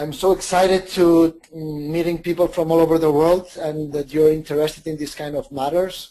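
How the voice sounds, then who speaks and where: In a Spanish accent, a man talks at a fairly high pitch with a dark, mellow tone. His intonation stays monotone and flat. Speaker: microfinance organisation founder and lecturer. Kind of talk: webinar presentation. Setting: online webinar. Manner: hesitant, repeats words.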